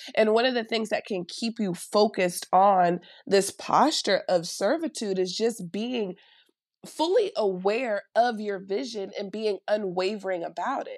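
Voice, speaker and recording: The voice has an animated tone and ordinary pitch variation, captured on a very clean recording with a silent background. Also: woman, fairly high pitch for a woman. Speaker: consultant and coach. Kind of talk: faith-based interview conversation.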